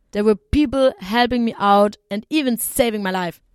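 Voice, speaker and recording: With a German accent and ordinary pitch variation, the speaker talks at a moderate pace in a dry, close recording with no echo. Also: woman. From southern Germany. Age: 20s. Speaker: travel podcast host. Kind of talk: personal storytelling monologue.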